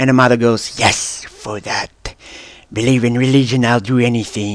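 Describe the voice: Fairly even intonation in a stretch of plain reading aloud.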